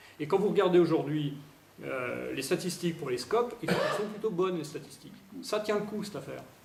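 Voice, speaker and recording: Amid noticeable background noise and audible room echo, a man speaks at a high pitch and a fairly quick pace. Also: lively intonation. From France, Allier (Domérat near Montluçon). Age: 40s. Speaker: parliamentary candidate. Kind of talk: campaign speech at public meeting.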